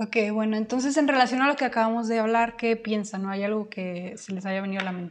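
Talking at a very fast pace with hardly any pauses, a woman uses a fairly high pitch. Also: ordinary pitch variation. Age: 20s. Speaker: podcast co-host, university student. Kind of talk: casual chat.

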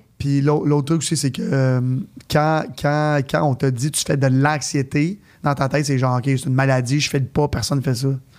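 On a very clean recording with a silent background, a man with a fairly high pitch and an ordinary speaking voice talks at a moderate pace with fairly even intonation. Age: 30s. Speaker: entrepreneur. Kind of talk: casual interview.

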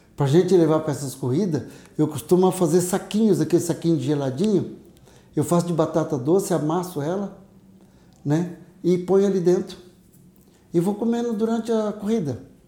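A man's high-pitched voice of dark, mellow tone, at a fairly quick pace with long, frequent pauses. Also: ordinary pitch variation. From interior of São Paulo state, Brazil. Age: 60s. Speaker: retired biology teacher and ultramarathon runner. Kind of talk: casual interview.

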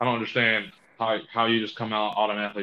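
Speaking very fast, a man uses a fairly low pitch. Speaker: podcast co-host. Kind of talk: casual banter.

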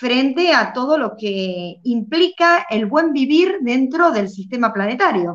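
Lively intonation runs through this voice. A woman speaks with a high pitch. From Argentina. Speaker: educator and online show host. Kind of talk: interview. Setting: live stream. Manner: halting, with frequent fillers.

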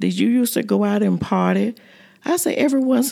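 A woman with a dark, mellow tone talks at a moderate pace, her pitch swinging very widely. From US South, Florida (Fort Pierce). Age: 60s. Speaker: community elder. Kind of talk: casual group conversation.

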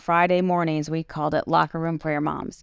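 A woman with an American accent speaks in a monotone, flat intonation and fairly low pitch, in a dry, close sound with no echo on a very clean recording with a silent background. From small town US. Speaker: podcast host and author. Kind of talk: casual chat. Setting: studio.

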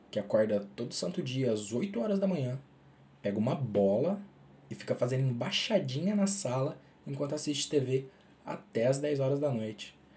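A man's dark, mellow, somewhat breathy voice at a medium pitch, with lively intonation and a moderate pace. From Minas Gerais, Brazil. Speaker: podcaster. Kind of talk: personal monologue.

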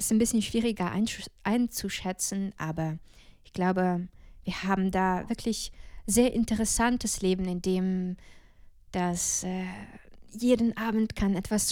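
On a very clean recording with a silent background, a woman uses an ordinary speaking voice at a fairly slow pace and medium pitch, with fairly even intonation and big swings in loudness. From Ukraine, Odessa region. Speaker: jazz singer and music student. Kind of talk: casual interview.

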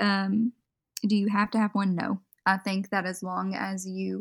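A woman has a plain, everyday voice of medium pitch with fairly even intonation, on a very clean recording with a silent background and a dry, close sound with no echo. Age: 20s. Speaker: makeup artist. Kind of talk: casual interview. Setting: voice call.

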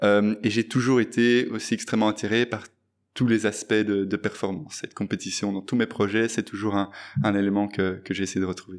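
A man's fairly low voice with fairly even intonation at a moderate pace, in a very clean recording with a silent background. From Belgium, Brussels. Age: 20s. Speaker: fintech entrepreneur. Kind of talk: interview. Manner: halting, many fillers.

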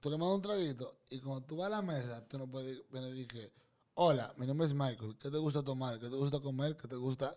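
At a fairly quick pace, a man speaks with an animated tone. His pitch is medium, with ordinary pitch variation. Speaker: podcast host. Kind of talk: casual banter interview. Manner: animated, joking.

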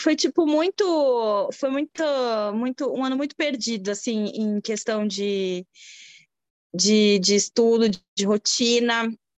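A woman talks very slowly in a fairly high pitch. The sound is dry and close, with no echo. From Brazil. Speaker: immigrant mother. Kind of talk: casual interview chat. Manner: halting.

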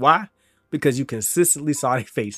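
A normal speaking voice at a fairly quick pace, with ordinary pitch variation, dry, close sound with no echo, and a very clean recording over a silent background. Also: man. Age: 20s. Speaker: streamer and podcast host. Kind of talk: casual solo monologue. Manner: casual, filler-heavy.

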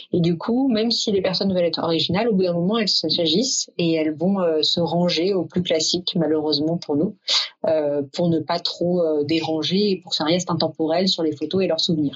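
A woman at a fairly low pitch, with ordinary pitch variation and a moderate pace, against noticeable background noise. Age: 30s. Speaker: event planner, company founder. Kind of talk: interview. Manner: hesitant, many filler sounds.

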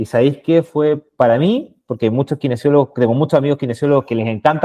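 A man speaks in a plain, everyday voice at medium pitch. His pace is fairly quick and his intonation fairly even. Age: 30s. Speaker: sales manager. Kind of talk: casual interview.

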